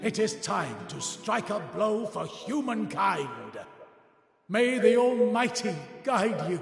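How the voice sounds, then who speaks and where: In a put-on character voice, a man speaks at a high pitch and a fairly slow pace. There is a slight echo. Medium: game stream. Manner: grave, dignified.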